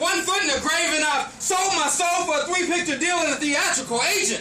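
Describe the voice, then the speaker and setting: With audible room echo and noticeable background noise, a man speaks in a raised, projected voice at an extremely high pitch, with ordinary pitch variation and a moderate pace. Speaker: poetry performer. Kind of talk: spoken word poetry performance. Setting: stage with audience, no microphone. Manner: loud. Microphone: no microphone, room echo.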